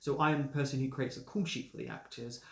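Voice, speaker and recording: A man with a southern English accent speaks in a somewhat breathy voice with fairly even intonation. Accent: well-spoken southern English, trained. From London, England. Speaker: actor and assistant director running a review channel. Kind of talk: casual Q&A vlog. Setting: home recording during isolation.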